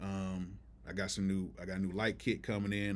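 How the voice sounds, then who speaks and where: Fairly quick speech from a man with a fairly low pitch. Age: 40s. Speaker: music producer, live streamer; live streamer. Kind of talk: live stream chat. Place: home room. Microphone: webcam.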